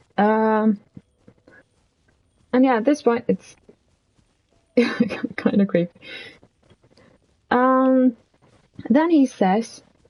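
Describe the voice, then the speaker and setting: Soft-spoken and fairly high in pitch, a woman with a non-native accent uses ordinary pitch variation in a dry, close sound with no echo. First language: not English. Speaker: streamer. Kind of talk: casual storytelling stream. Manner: quiet, soft-spoken; hesitant, filler-heavy.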